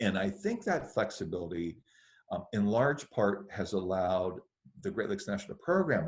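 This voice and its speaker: A man with a normal speaking voice talks at a moderate pace and a fairly low pitch. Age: 60s. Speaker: government environmental official. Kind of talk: webinar presentation. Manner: casual, with frequent filler words.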